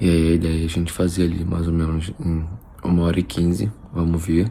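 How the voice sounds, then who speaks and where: A man speaks quietly at a moderate pace. His pitch is very deep and low, with fairly even intonation. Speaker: nutritionist vlogger. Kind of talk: casual vlog. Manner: quiet, speaking low.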